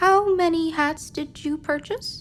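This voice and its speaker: Squeaky and extremely high in pitch, a put-on character voice speaks at a fairly slow pace against clear background noise. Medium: audio drama. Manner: formal, stiff.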